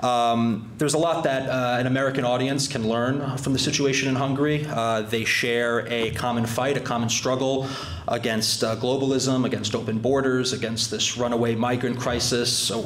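Amid light background noise and audible room echo, a man talks at a moderate pace with monotone, flat intonation and very even loudness. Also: hardly any pauses. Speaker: club host introducing a guest. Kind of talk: formal speech. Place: hall.

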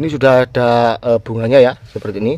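At a moderate pace, a man talks in a dry sound with no echo. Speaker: plant seller. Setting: outdoors by the house, showing plants to camera. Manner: animated, coaxing, sing-song sales patter. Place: garden. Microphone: phone near.

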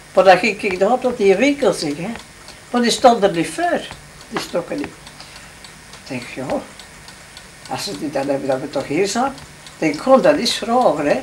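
Over light background noise, a woman talks at a fairly slow pace with very wide pitch swings, big swings in loudness and long, frequent pauses. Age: 80s+. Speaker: grandmother. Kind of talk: casual conversation. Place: home room. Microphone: old recording.

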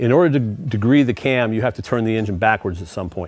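A man talks at a fairly quick pace. Faint music plays in the background, and the sound is dry with no echo. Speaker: car show host. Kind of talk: tutorial. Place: garage.

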